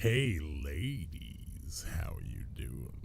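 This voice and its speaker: A raspy, put-on character voice from a man, with clear background noise. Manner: flirty, suave.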